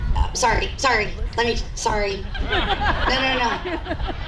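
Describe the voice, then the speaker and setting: A woman's voice with ordinary pitch variation, noticeable background noise and audible room echo. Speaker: school principal. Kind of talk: ceremony speech. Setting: school event with audience. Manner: formal.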